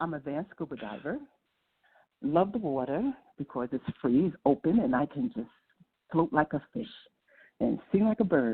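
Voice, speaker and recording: Her pitch very deep and low yet marked by very wide swings, a woman talks at a moderate pace. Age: 60s. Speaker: storyteller and historian. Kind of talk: self-introduction in interview. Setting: phone line.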